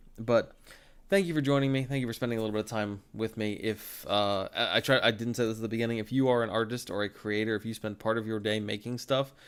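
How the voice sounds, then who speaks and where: Against a quiet background, a man speaks at a very fast pace in a medium pitch with fairly even intonation. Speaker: photographer and editor streaming photo edits; live streamer. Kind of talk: live stream tutorial. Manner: halting, self-correcting. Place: home room. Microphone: studio mic.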